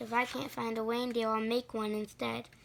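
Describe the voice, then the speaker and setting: Putting on a growling character voice at a fairly high pitch, a woman speaks at a moderate pace over clear background noise. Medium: read story. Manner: snarling, sneering.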